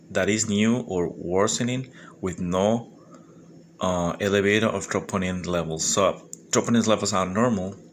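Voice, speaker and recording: With a non-native accent, a man talks at a moderate pace in a fairly low pitch and fairly even intonation. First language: Spanish. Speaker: medical exam candidate. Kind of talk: study review monologue. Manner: halting; informal.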